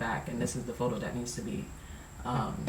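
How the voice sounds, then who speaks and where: A man's fairly quick speech comes through audible room echo and noticeable background noise. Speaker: vlogger. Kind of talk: casual conversation and vlog.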